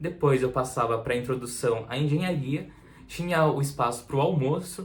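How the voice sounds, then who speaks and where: A somewhat breathy man with a fairly high pitch at a fairly slow pace, with audible room echo. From Santa Catarina, southern Brazil. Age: 20s. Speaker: university student, vlogger. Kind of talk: casual vlog talk to camera.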